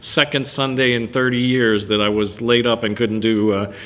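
A man speaks at a moderate pace with monotone, flat intonation. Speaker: pastor. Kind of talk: sermon. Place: church.

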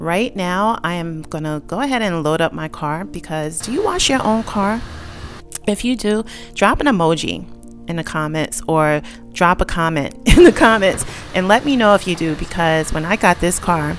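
Faint music plays in the background as a woman talks at a moderate pace with a fairly low pitch. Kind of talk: casual vlog chat. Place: garage. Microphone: phone near.

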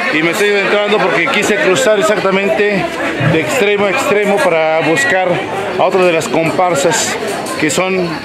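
Over crowd noise in the background, a man talks at a moderate pace with ordinary pitch variation. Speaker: vlogger. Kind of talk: casual vlog chat. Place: market. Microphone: phone near.

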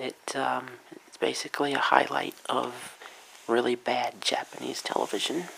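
Soft-spoken and at a moderate pace, the voice comes over light background noise. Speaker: ASMR video creator and convention-goer. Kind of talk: ASMR soft-spoken talk to camera. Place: home room. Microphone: camera far.

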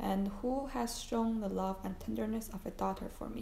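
The text is read aloud in a natural voice.

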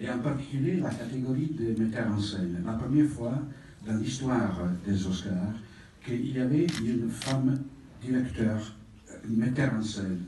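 Man with an Italian accent, at a fairly slow pace with long, frequent pauses and ordinary pitch variation, in audible room echo with light background noise. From Italy. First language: Italian (speaking French). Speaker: film institute president; presenter. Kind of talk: presentation speech. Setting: stage with audience. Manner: halting. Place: hall.

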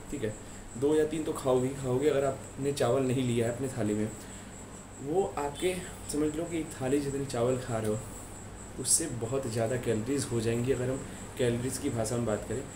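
There is noticeable background noise. A man talks over it at a moderate pace. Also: fairly even intonation. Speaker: fitness trainer. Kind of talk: explanatory vlog talk. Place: home room. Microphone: phone near.

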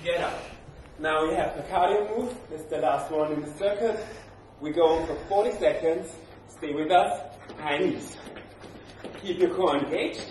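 A man with a high pitch leaves long, frequent pauses. Audible room echo and light background noise fill the recording. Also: ordinary pitch variation, moderate pace. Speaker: fitness trainer. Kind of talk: workout instruction. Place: gym. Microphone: camera far.

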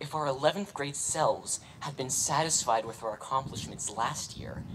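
At a moderate pace, a man talks while noticeable background noise continues behind him. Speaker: speaker. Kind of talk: graduation speech. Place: stadium. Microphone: podium.

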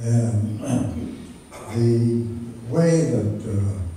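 This man speaks at a medium pitch, with light background noise behind him. Strong room echo surrounds his voice. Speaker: retired machinist. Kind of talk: interview answer. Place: hall. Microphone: camera far.

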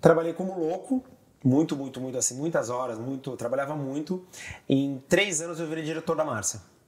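An ordinary speaking voice from a man, fairly high in pitch, fairly quick, with ordinary pitch variation. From Brazil, São Paulo. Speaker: TV director and tour guide. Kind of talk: casual interview chat. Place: home room.

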